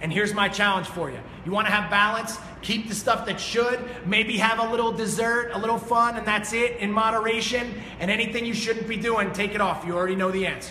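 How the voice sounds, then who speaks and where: Shouting in a raised, projected, high voice with an energetic tone, a man speaks at a fairly quick pace over noticeable background noise and audible room echo. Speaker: fitness coach and motivational speaker. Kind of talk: motivational talk. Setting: studio with live audience. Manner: loud, yelling.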